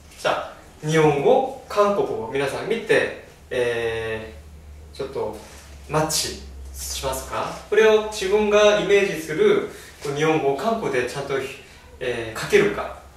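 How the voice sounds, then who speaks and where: At a fairly slow pace, a man speaks with audible room echo. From South Korea. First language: Korean (speaking Japanese). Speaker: language teacher. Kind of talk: tutorial; lecture. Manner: halting, many fillers. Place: classroom. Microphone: camera far.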